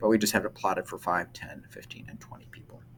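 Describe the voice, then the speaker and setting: This man is whispering. He goes at a very fast pace. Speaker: middle school math teacher. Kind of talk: recorded math lesson. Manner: hesitant, many fillers.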